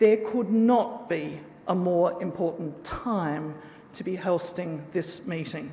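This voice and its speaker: At a fairly slow pace, the speaker talks with an Australian accent over noticeable background noise. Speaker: conference organiser giving opening address. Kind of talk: formal conference speech.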